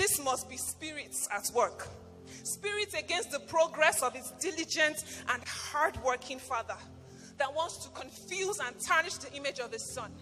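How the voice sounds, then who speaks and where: Music plays behind a woman with a high voice. She speaks at a moderate pace, with lively intonation and big swings in loudness. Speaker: pastor, spoken word performer. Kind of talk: spoken word storytelling with a moral.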